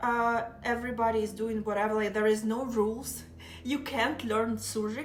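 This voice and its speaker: In a Russian accent, a woman speaks at a moderate pace with a fairly high pitch and monotone, flat intonation, with audible room echo. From southeastern Ukraine. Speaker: live streamer. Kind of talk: casual chat.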